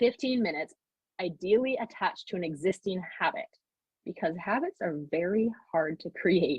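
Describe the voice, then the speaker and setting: Somewhat breathy, a woman's medium-pitched voice carries lively intonation. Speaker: mom coach and workshop speaker. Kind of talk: online workshop talk. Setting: live video call. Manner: fast.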